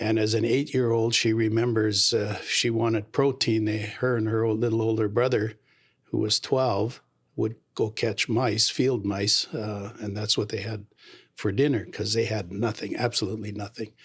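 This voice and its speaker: In a very clean recording with a silent background, a man with a Canadian accent talks at a moderate pace in a medium, somewhat breathy voice, his intonation flat and monotone. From Canada, Abbotsford, British Columbia. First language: Low German. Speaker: mayor. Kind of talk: interview.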